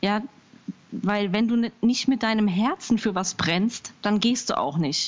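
Somewhat breathy, a woman speaks fairly slowly at a fairly high pitch with ordinary pitch variation. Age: 30s. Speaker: small business founder. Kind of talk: interview. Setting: Skype call. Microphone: possible crackle and hiss on Skype line.

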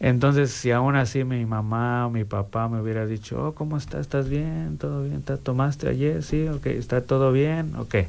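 A man with a plain, everyday voice, medium pitch and lively intonation, at a moderate pace with hardly any pauses. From Mexico. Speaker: recovering alcoholic. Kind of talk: testimony.

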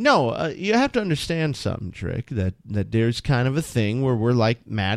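Very wide pitch swings mark a man's speech at a moderate pace. The recording is very clean, with a silent background. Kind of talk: radio dj patter: casual co-host banter and teasing on air. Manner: dry, wry, jokey, chiming in mid-sentence.

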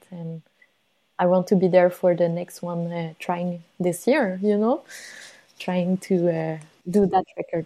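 Long, frequent pauses break up this fairly slow delivery in a Quebec accent, with a dark, mellow tone and fairly even intonation. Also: woman, fairly low pitch for a woman. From Montreal, Quebec. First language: French. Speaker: polar explorer. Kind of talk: interview conversation. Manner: hesitant, many fillers.

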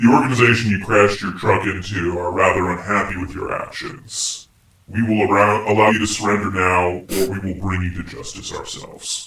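A man's put-on character voice, fairly low in pitch, at a fairly quick pace with slight echo. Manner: quick, threatening, formal.

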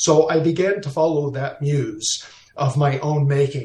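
A man with a fairly high, somewhat breathy voice speaks with fairly even intonation. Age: 50s. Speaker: landscape photographer. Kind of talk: casual interview.

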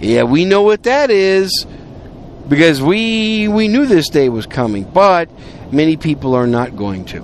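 Over noticeable background noise, a man with a high pitch talks at a fairly slow pace with very wide pitch swings. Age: 50s. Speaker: podcast host. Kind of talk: casual monologue. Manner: conversational.

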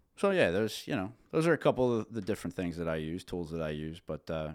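On a very clean recording with a silent background, a man with a central Pennsylvania accent talks very fast in a very deep, low voice with lively intonation. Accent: central Pennsylvania American. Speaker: businessman and father. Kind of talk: casual interview chat. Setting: on the road at a trade show.

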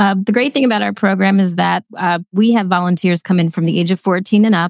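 Speaking fairly quickly, a woman with a Pennsylvania accent has a medium pitch and ordinary pitch variation. The sound is dry and close with no echo. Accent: Pennsylvania American. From Lancaster County, Pennsylvania. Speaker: nonprofit executive director. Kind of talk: casual interview.

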